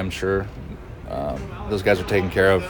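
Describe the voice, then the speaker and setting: A man with a very deep, low voice at a moderate pace, with audible room echo and music in the background. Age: 30s. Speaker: professional baseball player. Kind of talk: interview. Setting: stadium dugout.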